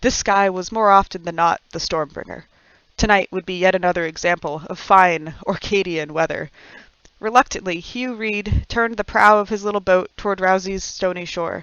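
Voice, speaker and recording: A woman with an ordinary speaking voice talks at a moderate pace in a medium pitch, with fairly even intonation. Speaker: author. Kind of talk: audiobook reading.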